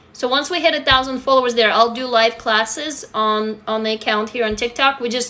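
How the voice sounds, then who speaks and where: This woman talks at a fairly quick pace with a high pitch and ordinary pitch variation. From Russia. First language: Russian. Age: 40s. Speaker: writer and social media creator. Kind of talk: livestream chat answering comments. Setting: TikTok live stream. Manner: animated.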